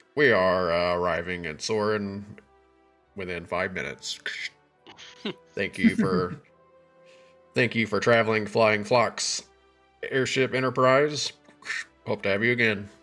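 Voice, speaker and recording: Putting on a character voice, a man speaks fairly slowly at a fairly low pitch with long, frequent pauses as faint music plays in the background. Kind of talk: formal announcement.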